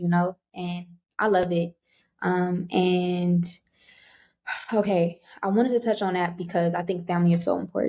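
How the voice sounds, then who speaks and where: A woman speaks at a moderate pace in a fairly low voice with a slight Southern US accent, her tone dark and mellow. Her intonation stays fairly even, broken by long, frequent pauses. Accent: slight Southern twang. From Los Angeles, US. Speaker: podcast host. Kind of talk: casual interview chat.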